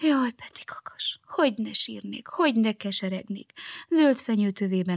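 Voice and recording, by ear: The speaker is reading aloud in a natural voice with lively intonation.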